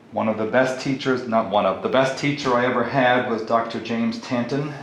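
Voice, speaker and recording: A man talks with fairly even intonation, surrounded by noticeable background noise and audible room echo. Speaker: math teacher. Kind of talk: tutorial.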